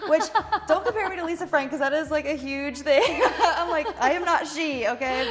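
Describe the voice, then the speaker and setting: Someone with an American accent talks amid noticeable background noise and audible room echo. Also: woman. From North Carolina, US South. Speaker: tattoo artist. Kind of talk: casual interview chat. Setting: tattoo shop.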